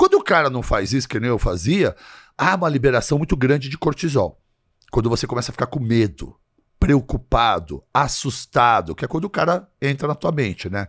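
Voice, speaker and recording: A man speaks at a fairly quick clip with lively intonation and some vocal fry. The background is quiet. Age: 60s. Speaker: physician and health influencer; health influencer. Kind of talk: casual chat. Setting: studio. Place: studio. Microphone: studio mic.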